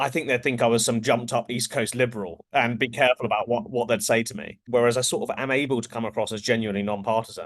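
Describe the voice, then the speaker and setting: Speaking very fast with fairly even intonation, a man talks at a medium pitch in an English accent. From England. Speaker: pollster. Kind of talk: interview.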